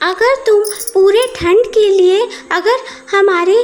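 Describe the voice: A cartoonish character voice from a woman, extremely high in pitch, with ordinary pitch variation at a fairly slow pace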